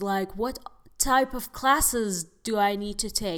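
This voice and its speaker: A woman with an Arabic accent sounds animated and enthusiastic, with ordinary pitch variation. The recording is very clean with a silent background. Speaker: podcast host and actress. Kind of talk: casual monologue podcast, advice to listeners. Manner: animated, chatty, enthusiastic.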